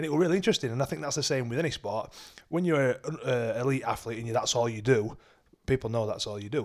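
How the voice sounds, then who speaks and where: The speaker has a Yorkshire accent. The pace is very fast, with ordinary pitch variation. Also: man, medium pitch for a man. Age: 30s. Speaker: podcast co-host and semi-pro rugby league player. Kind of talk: casual chat.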